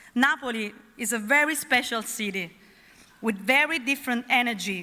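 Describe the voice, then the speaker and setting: A high-pitched woman speaks at a moderate pace with an Italian accent and ordinary pitch variation. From Naples, Italy. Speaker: awards ceremony presenter. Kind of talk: ceremony presenting. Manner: formal.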